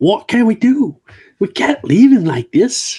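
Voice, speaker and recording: In a put-on character voice, a man whines at a fairly slow pace, his pitch extremely high and swinging very widely. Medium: read story. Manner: whiny.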